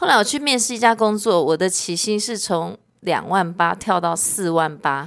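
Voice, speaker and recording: Here a woman with an unremarkable speaking voice talks at medium pitch and a moderate pace. Her intonation is lively, and she leaves hardly any pauses. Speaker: sales executive. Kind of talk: casual chat.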